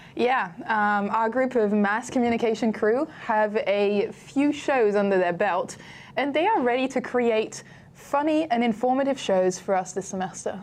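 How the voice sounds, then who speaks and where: A voice in a British accent, with ordinary pitch variation and very even loudness. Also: woman, fairly high pitch for a woman, moderate pace. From France. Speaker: student TV host. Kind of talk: live student TV show hosting. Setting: studio.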